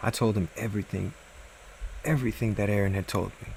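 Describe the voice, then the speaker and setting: A man's fairly low-pitched voice at a fairly quick pace, with ordinary pitch variation. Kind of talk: horror story reading, first-person narration.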